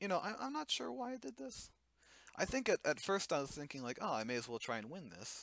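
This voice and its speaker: A man with an American accent and lively intonation. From Cincinnati, Ohio, US Midwest. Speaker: card game player and commentator. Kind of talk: gameplay commentary. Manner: fast; halting, many fillers.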